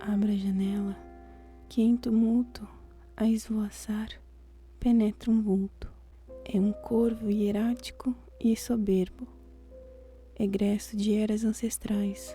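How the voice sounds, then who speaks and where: Soft-spoken and whispering in a gentle tone, the voice moves at a very slow pace with long, frequent pauses over music in the background. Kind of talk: soft-spoken ASMR poetry reading for sleep. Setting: studio with quiet classical piano music in background. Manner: soft, whispered, gentle.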